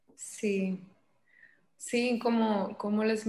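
Her pitch sits fairly high. The voice belongs to a woman. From Mexico, Sinaloa (Los Mochis). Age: 20s. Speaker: psychologist. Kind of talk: interview.

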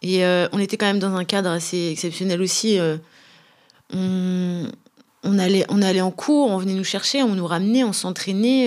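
Here a woman talks at a fairly slow pace. Her medium pitch shows ordinary variation. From France, Brittany (Brest). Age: 30s. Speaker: professional footballer. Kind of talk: casual interview. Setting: club headquarters.

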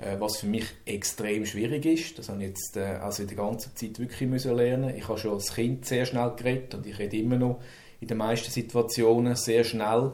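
Using fairly even intonation, a man speaks at a medium pitch and a moderate pace, his tone dark and mellow. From Switzerland, Zürich. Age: 50s. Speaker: manager who stutters. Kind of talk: personal testimony. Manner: halting.

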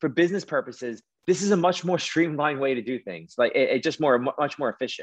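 Talking at a very fast pace, the man has a fairly high pitch, lively intonation and a strong East Coast accent. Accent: thick East Coast. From New York City. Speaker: mortgage lender and real estate investor. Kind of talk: podcast interview.

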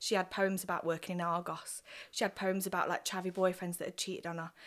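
A woman speaks with an East Midlands accent at a medium pitch. Her intonation is monotone and flat. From Nottingham, England. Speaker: poet. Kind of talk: casual chat.

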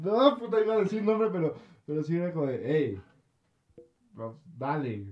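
Very wide pitch swings mark this man's animated tone. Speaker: podcast co-host. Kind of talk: casual chat.

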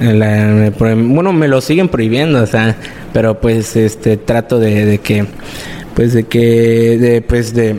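Noticeable background noise sits under a man talking at a fairly slow pace. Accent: Mexican. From Mexico, Quintana Roo (Playa del Carmen). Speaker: music producer and songwriter. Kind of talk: casual interview.

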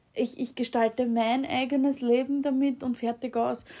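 In an Austrian accent, a woman talks at a very slow pace with a high pitch and a dark, mellow tone. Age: 30s. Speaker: podcast host. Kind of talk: casual monologue. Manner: halting, many fillers.

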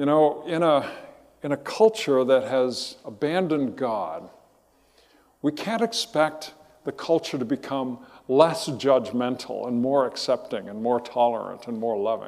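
Lively intonation marks a man's fairly slow delivery in a normal speaking voice. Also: medium pitch for a man. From Southern California. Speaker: pastor. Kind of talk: sermon.

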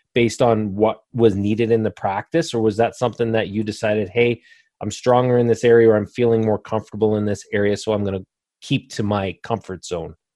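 Against a quiet background, a man talks at a fairly quick pace in a medium pitch with ordinary pitch variation and a dark, mellow tone, the sound dry and close with no echo. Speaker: podcast host, veterinarian. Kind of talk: interview. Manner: energetic.

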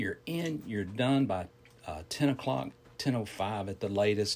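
With a Southern US accent, a man talks at a fairly slow pace, his intonation lively. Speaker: fitness instructor. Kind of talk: casual chat.

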